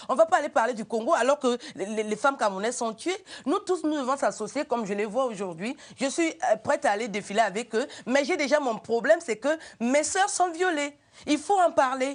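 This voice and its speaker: This animated voice moves at a fairly quick pace with very wide pitch swings. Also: woman, high pitch for a woman. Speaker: writer and comedian. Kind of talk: TV talk show interview.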